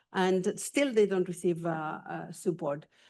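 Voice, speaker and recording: A woman's dark, mellow tone at a medium pitch, with ordinary pitch variation, a moderate pace and a quiet background. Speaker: mental health policy official. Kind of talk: conference presentation. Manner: halting, many filler sounds.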